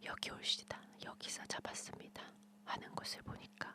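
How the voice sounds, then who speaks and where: Whispering at a fairly slow pace in a soothing tone, the speaker is heard over noticeable background noise. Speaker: ASMR storyteller / channel host. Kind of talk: bedtime story reading, ASMR whispered fairy tale. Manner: whispered, soothing.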